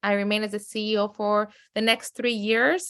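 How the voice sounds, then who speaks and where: The speaker has a strong Mexican accent. The recording is very clean with a silent background. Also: woman. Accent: heavy Mexican Spanish. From Mexico City, then San Diego. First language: Spanish. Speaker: media company CEO. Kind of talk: podcast interview.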